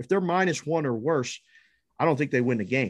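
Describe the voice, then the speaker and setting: A man with an American accent and an ordinary speaking voice talks at a fairly high pitch and a fairly quick pace, his intonation lively. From Pittsburgh, Pennsylvania. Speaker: sports betting analyst. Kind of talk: casual chat.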